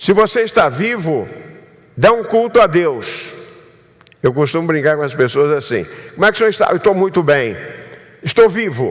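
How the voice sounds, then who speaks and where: A man speaks in a high voice with lively intonation. Noticeable background noise runs underneath. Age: 70s. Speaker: pastor. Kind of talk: sermon.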